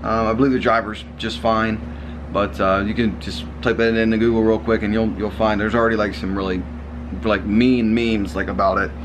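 This man has a fairly low pitch and talks at a fairly quick pace. Noticeable background noise runs behind him. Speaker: car vlogger. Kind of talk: casual vlog chat. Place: home room. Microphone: phone near.

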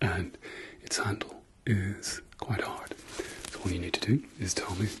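Soft-spoken and fairly slow, a man speaks at a fairly low pitch with ordinary pitch variation against light background noise. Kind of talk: ASMR role-play. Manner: soft, close ASMR murmur.

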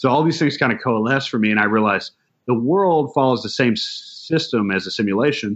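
A man with an American accent talks in a plain, everyday voice at a medium pitch. His pace is fairly quick and his intonation lively. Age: 30s. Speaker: astrologer and tarot reader. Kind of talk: casual interview. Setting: video call.

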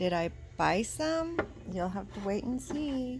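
A very slow pace over light background noise. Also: woman. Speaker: vlogger shopping with her mother. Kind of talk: casual vlog chat. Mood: cheerful, enthusiastic. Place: shop. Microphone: phone near.

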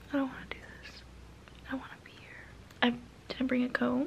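A woman whispers. She keeps a moderate pace. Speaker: vlogger on a road trip. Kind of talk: casual vlog chat. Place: home room. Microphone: phone near.

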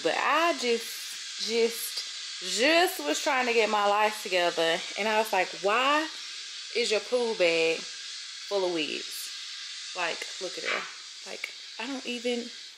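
Speech comes at a very slow pace with long, frequent pauses against noticeable background noise. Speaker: vlogger. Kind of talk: casual vlog chat. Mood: amused, self-mocking. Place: home room. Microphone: phone near.

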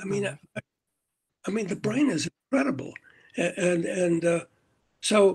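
A man speaks in a high voice with lively intonation and a fairly slow pace. He takes long, frequent pauses against a quiet background. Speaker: support group member. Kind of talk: group Q&A. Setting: video call. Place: home room. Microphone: video call.

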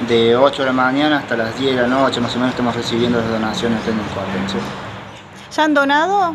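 Over loud background noise, a man talks at a very fast pace with ordinary pitch variation. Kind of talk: interview answer. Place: garage.

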